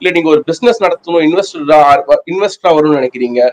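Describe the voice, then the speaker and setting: Lively intonation and a fairly high pitch mark this man's talk, given in an ordinary speaking voice. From Tamil Nadu, Pudukkottai near Trichy; Tamil Nadu. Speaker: immigration consultant. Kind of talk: interview. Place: office. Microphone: webcam.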